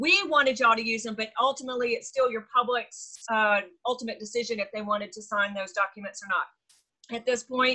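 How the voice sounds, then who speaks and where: Against a quiet background, a woman with a bright, sharp tone talks at a fairly quick pace with hardly any pauses, ordinary pitch variation and big swings in loudness. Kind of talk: meeting update talk. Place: home room. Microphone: video call.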